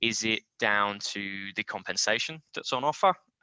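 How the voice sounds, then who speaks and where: A man with a bright, sharp tone and ordinary pitch variation is recorded dry and close with no echo. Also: quiet background. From UK. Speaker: life sciences recruiter. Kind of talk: career advice presentation. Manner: hesitant, many fillers.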